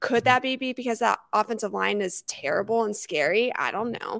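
A woman at a fairly high pitch, with ordinary pitch variation and a bright, sharp tone, is heard dry with no echo over a quiet background. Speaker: sports podcast co-host. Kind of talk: casual chat. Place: home room. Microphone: handheld.

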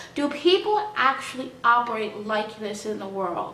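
A woman speaks in a high voice. Audible echo fills the room. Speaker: vlogger. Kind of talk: casual vlog talking to camera. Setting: home, background noise from housemate and dogs. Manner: informal, rambling, emotional. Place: home room. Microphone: phone near.

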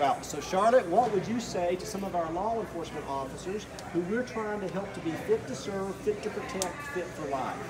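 Loud background noise runs under a man's voice. He keeps a moderate pace with hardly any pauses. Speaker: fitness interviewer. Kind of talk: interview questions to camera. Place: gym. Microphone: phone near.

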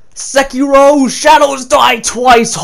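A put-on character voice pitched high. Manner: excited, gushing.

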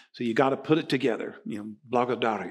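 Against quiet surroundings, a man's voice rises and falls with lively intonation. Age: 60s. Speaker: pastor. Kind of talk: sermon. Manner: animated. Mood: humorous, animated. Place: church.

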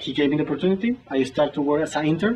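A man's fairly high-pitched voice sounds over light background noise. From Colombia. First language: Spanish. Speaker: civil engineer. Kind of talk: interview answer. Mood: warm, grateful. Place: office.

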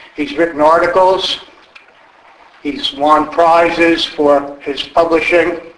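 A man with a high voice speaks at a very slow pace, with long, frequent pauses and ordinary pitch variation. Audible room echo surrounds his voice. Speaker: event moderator for a history society. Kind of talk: event introduction. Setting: stage with audience. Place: hall.

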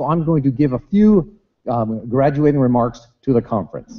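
A man talks at a moderate pace with quiet behind him. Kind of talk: keynote speech. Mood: light, humorous. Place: hall. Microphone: podium.

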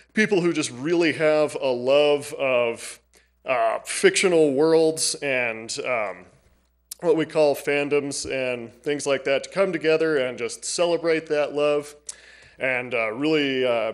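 Against a quiet background, a man speaks at a very slow pace. His pitch variation is ordinary. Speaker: library staff presenting to council. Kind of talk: public presentation. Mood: friendly, slightly nervous. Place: hall. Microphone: podium.

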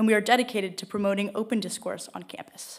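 Over a quiet background, a woman speaks. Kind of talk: formal event introduction. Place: hall. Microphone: podium.

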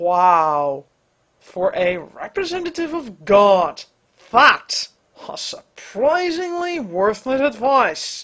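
Someone puts on a character voice at a fairly high pitch, swinging very widely in pitch at a very slow pace. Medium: dub. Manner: flustered, sarcastic.

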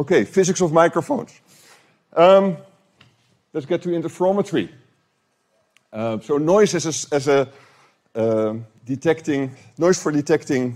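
With long, frequent pauses, a man with a fairly high voice talks at a moderate pace, his intonation lively. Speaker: professor. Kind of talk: lecture. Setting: lecture room with audience. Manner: halting, repeats words. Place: hall. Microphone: handheld.

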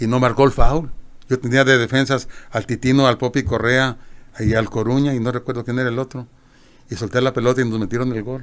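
A man at a fairly quick pace in a monotone, flat intonation. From Mexico, Guadalajara; Jalisco, Mexico. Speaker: retired football goalkeeper and coach; interviewee. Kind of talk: interview. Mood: warm, reminiscing.

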